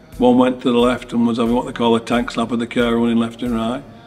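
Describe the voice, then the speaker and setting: Music plays in the background as a man talks at a very fast pace. He has a Lancashire accent and a medium pitch. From northern England, Lancashire. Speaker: rallycross driver. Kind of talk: interview answers. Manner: casual, with fillers and false starts.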